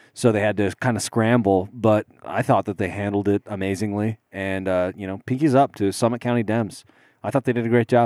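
A man speaks at a fairly quick pace with fairly even intonation. His pitch is fairly low, and the sound is dry and close with no echo. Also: very clean recording, silent background. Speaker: podcast co-host. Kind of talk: casual chat. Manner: soft-spoken.

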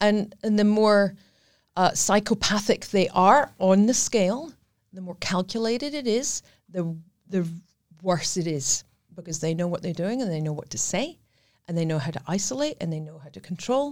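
A woman with a Scottish accent speaks at a moderate pace and medium pitch, her lively intonation and big swings in loudness broken by long, frequent pauses, on a very clean recording with a silent background. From Scotland. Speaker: domestic violence survivor and charity ambassador. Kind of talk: interview testimony.

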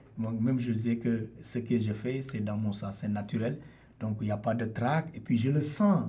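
With audible room echo, a man at a medium pitch sounds somewhat breathy, his tone dark and mellow and his pitch variation ordinary. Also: fairly slow pace. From Senegal. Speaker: percussionist and singer. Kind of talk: radio interview.

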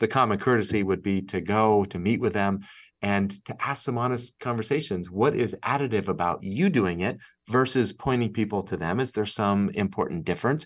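Against a quiet background, a man talks at a moderate pace and fairly low pitch. It is an ordinary speaking voice with ordinary pitch variation. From Massachusetts. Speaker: nonprofit executive and author. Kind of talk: interview conversation.

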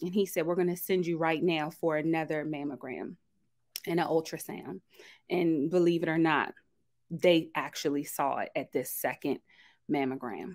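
A woman with an ordinary speaking voice talks at a moderate pace and fairly low pitch with fairly even intonation, on a very clean recording with a silent background. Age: 30s. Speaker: breast cancer survivor. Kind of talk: testimony.

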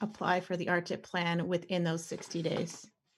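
A woman with a Canadian accent speaks at a medium pitch, somewhat breathy. The recording is very clean, with a silent background. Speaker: insurance broker. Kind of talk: informational podcast discussion.

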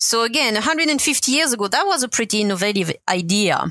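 Speaking with a French accent at a moderate pace, a woman uses a fairly high pitch and lively intonation. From France, Brittany. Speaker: health systems engineer. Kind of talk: interview.

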